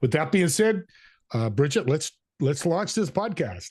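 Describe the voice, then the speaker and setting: A man's somewhat breathy voice at a moderate pace, with very wide pitch swings against a quiet background. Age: 60s. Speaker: podcast co-host. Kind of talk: casual interview.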